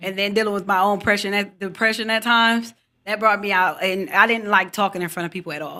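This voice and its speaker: A woman with an American accent speaks at a very fast pace and medium pitch, with fairly even intonation. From Pontiac, Michigan, US. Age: 40s. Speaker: mental health advocate. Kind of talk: interview.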